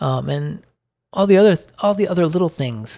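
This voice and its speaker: The speaker talks at a moderate pace with an American accent on a very clean recording with a silent background. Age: 50s. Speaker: podcaster on dividend investing. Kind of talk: solo monologue podcast. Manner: halting, many fillers.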